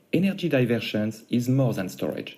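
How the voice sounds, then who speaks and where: Man with a non-native accent and a dark, mellow tone. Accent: noticeable foreign. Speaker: startup founder. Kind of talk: pitch presentation. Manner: formal.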